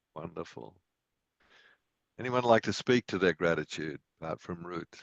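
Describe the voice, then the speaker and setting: In an Australian accent, a man with a very deep, low pitch and ordinary pitch variation speaks at a moderate pace, the sound dry and close with no echo. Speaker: meditation and yoga teacher. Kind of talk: group discussion after guided meditation.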